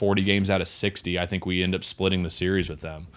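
Talking fairly quickly with an American accent, a man with a fairly low pitch has an ordinary speaking voice. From Texas. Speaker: professional baseball pitcher. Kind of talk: casual chat. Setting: studio.

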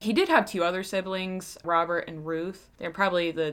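In a Pennsylvania accent, a woman talks at a moderate pace with a fairly low pitch. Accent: Pennsylvania twang. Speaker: true crime podcast host. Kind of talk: casual storytelling.

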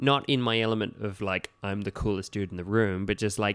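A man with an Australian accent and a fairly low pitch, on a very clean recording with a silent background. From regional New South Wales, Australia. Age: 30s. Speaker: kids' party entertainer. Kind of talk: casual chat. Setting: studio.

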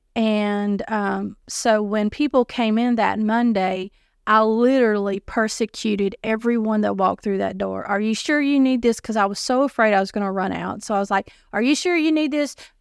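With a Southern US accent, a woman with a fairly high pitch and ordinary pitch variation talks at a moderate pace with hardly any pauses, in a very clean recording over a silent background. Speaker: nonprofit director. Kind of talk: casual chat.

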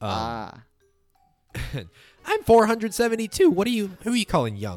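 A man's squeaky, put-on character voice, high-pitched for a man, at a fairly slow pace, with music in the background. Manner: indignant.

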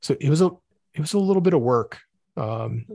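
A somewhat breathy man speaks against a quiet background. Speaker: podcast co-host. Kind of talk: casual chat.

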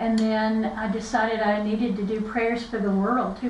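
A woman speaks with an Appalachian accent at a fairly high pitch. Noticeable background noise and audible room echo surround her voice. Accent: Southern Appalachian American. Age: 60s. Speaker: podcast co-host, author. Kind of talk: casual chat.

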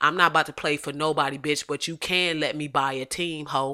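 Bright and sharp in tone, this woman's very deep, low voice moves at a fairly quick pace on a very clean recording with a silent background. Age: 20s. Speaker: podcast host. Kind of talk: casual monologue. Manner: animated.

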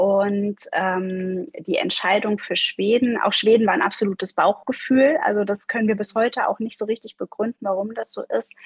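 Speaking at a moderate pace with hardly any pauses, a woman has a fairly high pitch, a somewhat breathy voice and ordinary pitch variation, in a dry, close sound with no echo. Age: 40s. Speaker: life coach. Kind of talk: interview.

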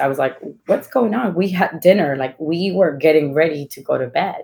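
A woman speaks with a Spanish accent at a moderate pace. Her pitch is fairly low and her intonation lively. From Ecuador. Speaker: executive. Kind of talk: panel discussion. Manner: halting.

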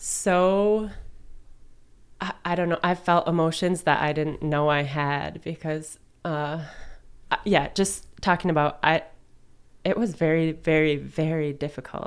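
Her pitch very deep and low, a woman speaks at a fairly slow pace with long, frequent pauses. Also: fairly even intonation. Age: 20s. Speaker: resale store owner and musician. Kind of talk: casual interview chat. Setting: studio.

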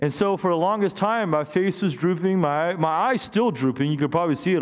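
A man with an animated tone at a very fast pace. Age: 50s. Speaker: pastor. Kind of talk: sermon. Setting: church with live congregation.

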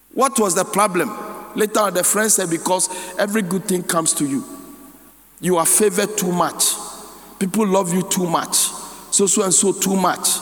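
A man with a Ghanaian accent speaks at a high pitch with ordinary variation and very even loudness. Long, frequent pauses break his speech over noticeable background noise. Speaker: pastor. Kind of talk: sermon. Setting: church. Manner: rapid run-on preaching, reading scripture then riffing without pause; call-and-response, repeatedly prompting the congregation to say amen.

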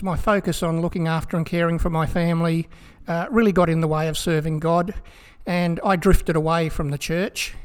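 Speaking with an Australian accent, a man keeps a moderate pace and ordinary pitch variation. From South Australia. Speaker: pastor. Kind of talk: interview.

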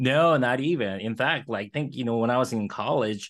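A man's normal speaking voice at medium pitch and moderate pace, against a quiet background. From born in Korea, moved to Los Angeles around age eleven. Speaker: radiologist and entrepreneur. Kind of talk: interview.

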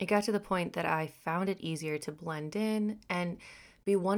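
On a very clean recording with a silent background, a woman with an American accent and a plain, everyday voice speaks at a moderate pace, her pitch fairly low and her intonation fairly even. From Texas and Missouri. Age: 20s. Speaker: podcast host. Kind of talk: reading aloud.

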